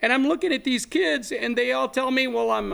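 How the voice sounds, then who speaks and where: In a South Texas accent, a man speaks on a very clean recording with a silent background. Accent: South Texas Mexican-American English. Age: 70s. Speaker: activist and land grant researcher. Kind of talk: interview.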